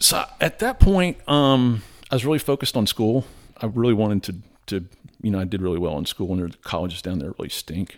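A man with a normal speaking voice and an American accent talks at a fairly low pitch with lively intonation. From South Florida, Tampa area. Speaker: adventurer and business founder. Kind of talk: casual chat.

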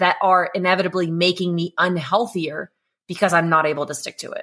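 At a fairly quick pace, a woman speaks at a medium pitch in an ordinary speaking voice. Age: 30s. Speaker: carnivore diet coach and content creator. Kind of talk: casual chat.

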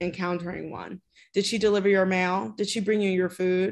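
A woman with an unremarkable speaking voice and medium pitch at a moderate pace, over a quiet background. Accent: American. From Chicago, US. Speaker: playwright and director. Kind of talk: interview.

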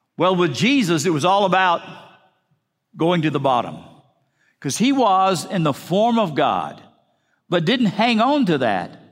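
A man's high-pitched voice at a fairly slow pace, with very wide pitch swings, very even loudness, and long, frequent pauses. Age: 60s. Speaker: pastor. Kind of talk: sermon. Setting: church.

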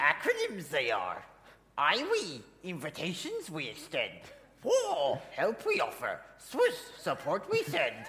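A put-on character voice moves at a fairly slow pace, broken by long, frequent pauses. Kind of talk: inverted syntax, wise. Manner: wise, teaching.

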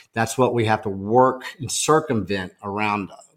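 In a Texan accent, a man speaks in an animated tone. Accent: Texan American. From Texas, small town. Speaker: food activist, organization founder. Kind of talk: podcast interview. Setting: in-person, at a farm table.

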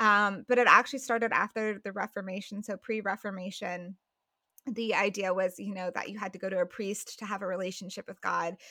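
In an American accent, a woman speaks at a fairly quick pace with a bright, sharp tone, monotone, flat intonation and big swings in loudness, on a very clean, dry, close recording with a silent background and no echo. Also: medium pitch for a woman. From Colorado, US. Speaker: writer, podcaster and former missionary. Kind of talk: interview conversation.

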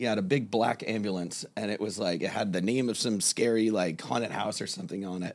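A man with an American accent and a normal speaking voice talks at a fairly quick pace, his fairly low pitch carrying lively intonation. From South Florida. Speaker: kava bar server and artist. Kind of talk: casual interview. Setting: studio. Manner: relaxed, many fillers.

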